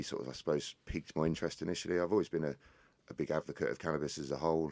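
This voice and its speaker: A man talks at a very fast pace in a very deep, low pitch. His voice carries vocal fry. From England, Northamptonshire. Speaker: hemp company CEO. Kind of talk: interview.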